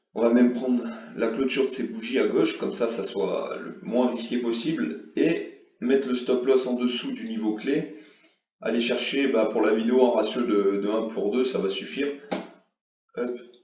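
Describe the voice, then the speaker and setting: Audible room echo surrounds a man speaking at a medium pitch. His pace is fairly slow, and his pitch variation is ordinary. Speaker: forex trading youtuber. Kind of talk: tutorial. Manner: hesitant, many fillers.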